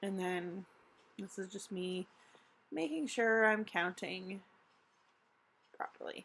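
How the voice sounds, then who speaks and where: Long, frequent pauses break up a woman's very slow speech, and her intonation is fairly even. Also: medium pitch for a woman. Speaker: vlogger. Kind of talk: tutorial. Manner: hesitant with many fillers.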